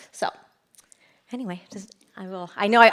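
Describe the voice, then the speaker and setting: Her intonation fairly even, a woman talks at a medium pitch. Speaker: city recycling specialist. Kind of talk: conference presentation. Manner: fast; halting.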